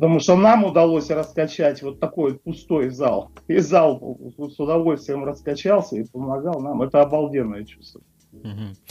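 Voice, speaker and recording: With a dark, mellow tone and a fairly high pitch, a man speaks at a moderate pace with ordinary pitch variation and big swings in loudness. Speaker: rock guitarist. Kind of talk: interview. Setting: Skype call. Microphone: Skype line, connection drops.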